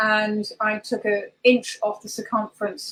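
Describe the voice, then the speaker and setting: A woman speaks with a southern English accent. Her pitch sits fairly high. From southwest England. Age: 50s. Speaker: holistic practitioner. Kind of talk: interview.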